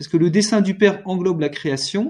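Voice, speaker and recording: A man's high-pitched voice at a fairly slow pace. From France. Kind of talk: panel discussion. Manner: halting, repeats words.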